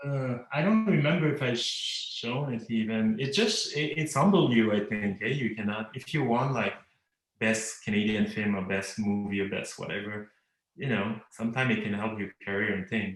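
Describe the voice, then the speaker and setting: A man's medium-pitched voice with a Quebec accent, moderate pace and ordinary pitch variation. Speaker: cartoonist. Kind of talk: casual interview conversation. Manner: halting, repeats words.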